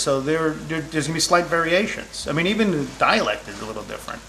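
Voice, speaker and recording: A man's voice against noticeable background noise. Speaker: chef. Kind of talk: casual cooking show talk.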